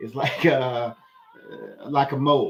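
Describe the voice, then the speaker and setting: A man with an American accent talks at a fairly high pitch. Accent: Southern US accent, remarked on by viewers. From US South. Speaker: political commentator. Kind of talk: commentary on a played video. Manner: halting, many fillers; casual.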